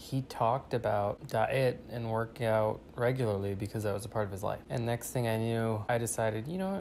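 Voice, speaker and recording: Quietly, a man speaks at a moderate pace with a medium-pitched voice. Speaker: vlogger. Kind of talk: casual monologue. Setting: at home.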